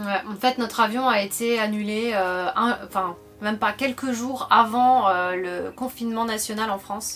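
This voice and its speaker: Music plays in the background as a woman speaks fairly slowly. Her pitch is fairly high and her intonation fairly even. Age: 30s. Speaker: travel vlogger. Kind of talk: casual chat.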